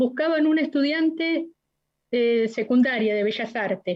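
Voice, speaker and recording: Here a woman talks in a normal speaking voice at a moderate pace. Her pitch varies in an ordinary way. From Argentina, La Plata. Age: 60s. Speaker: witness, human rights activist. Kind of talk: court testimony.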